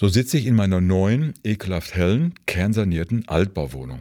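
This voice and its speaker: Very wide pitch swings move through a voice with a dark, mellow tone. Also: man. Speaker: book reviewer. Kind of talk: scripted narration.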